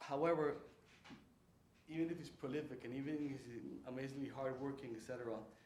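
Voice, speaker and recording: Heard with audible room echo, a man with a Spanish accent speaks at a fairly high pitch with fairly even intonation and long, frequent pauses. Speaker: writer and lecturer. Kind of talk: lecture. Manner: halting.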